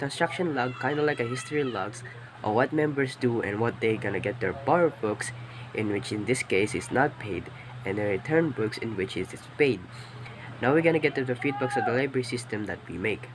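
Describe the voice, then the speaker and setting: A man talks fairly quickly at medium pitch with ordinary pitch variation. Noticeable background noise runs behind him. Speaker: student. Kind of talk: class presentation. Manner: halting.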